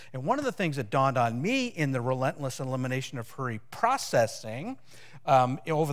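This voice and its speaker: A man is speaking. The background is quiet. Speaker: pastor. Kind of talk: sermon. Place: church. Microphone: headset.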